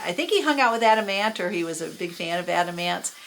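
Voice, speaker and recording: A woman talks at a fairly quick pace with a Californian accent. There is noticeable background noise. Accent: General American (California). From Los Angeles, US West Coast. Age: 60s. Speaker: YouTuber recounting music memories. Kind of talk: casual monologue. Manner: halting, many fillers.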